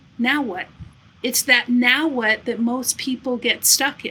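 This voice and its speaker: The woman's pitch is fairly high. She talks at a fairly slow pace. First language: not English. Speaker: podcast host. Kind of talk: casual interview conversation. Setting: home studio.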